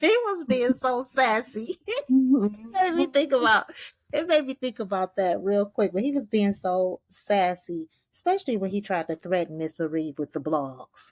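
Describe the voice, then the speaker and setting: A woman with a fairly high pitch speaks at a moderate pace, her pitch swinging very widely, in a dry, close sound with no echo. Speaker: TV recap podcast host. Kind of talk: casual chat. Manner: animated.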